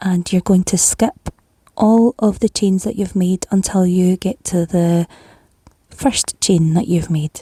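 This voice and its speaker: In a Scottish accent, a woman speaks at a very slow pace with a calm tone, a dark, mellow quality, medium pitch, ordinary pitch variation and a somewhat breathy edge, the sound dry and close with no echo. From Scotland. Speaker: crochet tutor. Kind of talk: tutorial. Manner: calm, step-by-step instructions.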